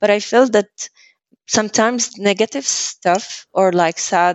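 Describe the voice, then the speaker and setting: With fairly even intonation, a woman talks very slowly. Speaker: marketing and PR professional, engineer. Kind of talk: casual interview conversation. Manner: halting, with many fillers.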